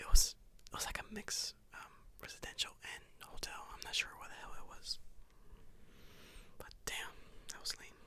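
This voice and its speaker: Whispering at a fairly slow pace, with long, frequent pauses and big swings in loudness. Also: man. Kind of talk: ASMR travel story told to camera; casual talk to camera. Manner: casual, rambling, conversational with filler words.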